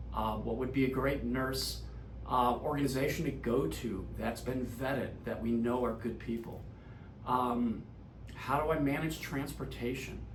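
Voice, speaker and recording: Audible room echo follows a man talking at a fairly slow pace. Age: 60s. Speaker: insurance advisor. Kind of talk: direct-to-camera explainer.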